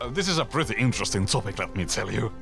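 A man speaks with music playing in the background. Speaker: video essay narrator. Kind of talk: video essay narration.

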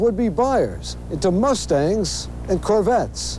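A man speaks with music playing in the background. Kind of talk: TV news report.

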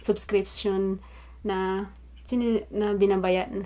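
Speaking at a very slow pace, a woman uses a medium pitch and a dark, mellow tone. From Philippines. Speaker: vlogger; beauty vlogger. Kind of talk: unboxing vlog. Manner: casual, frequent fillers and self-corrections.

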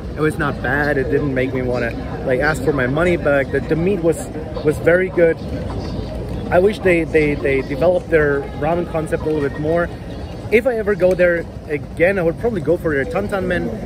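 A man speaks fairly quickly with ordinary pitch variation. Music plays behind him, and the sound is dry with no echo. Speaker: food vlogger. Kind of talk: casual vlog review. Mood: mildly disappointed. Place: street. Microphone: phone near.

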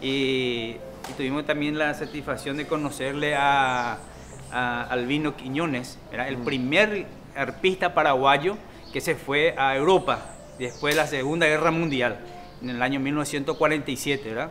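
Against light background noise, a man talks at a fairly slow pace with fairly even intonation. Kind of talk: interview answer.

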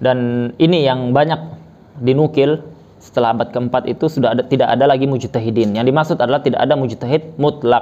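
This man talks at a very fast pace, his tone dark and mellow. His loudness stays very even, and his intonation is fairly even. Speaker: religious teacher. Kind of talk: lecture. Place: home room. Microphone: lapel.

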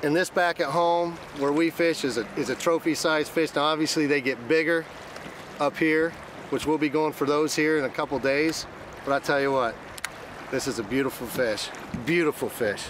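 A man speaks at a moderate pace with fairly even intonation and very even loudness, leaving long, frequent pauses. The sound is dry with no echo, over light background noise. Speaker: fishing show host. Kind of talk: commentary to camera. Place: boat.

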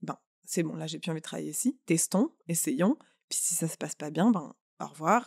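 A woman talks at a moderate pace with lively intonation, and the sound is dry and close with no echo. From France. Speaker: artist. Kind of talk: casual chat.

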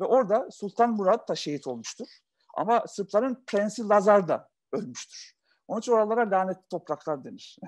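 A man at a moderate pace, high in pitch, with lively intonation and big swings in loudness. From Yugoslavia, Turkish minority. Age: 40s. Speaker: entrepreneur; interview guest. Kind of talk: talk; interview answer. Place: home room. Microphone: video call.

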